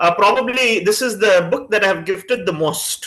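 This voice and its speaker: Loud and projected, a man with a Tamil accent speaks in a high, bright, sharp voice. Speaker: chief guest speaker. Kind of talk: talk to a student reading group. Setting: video call.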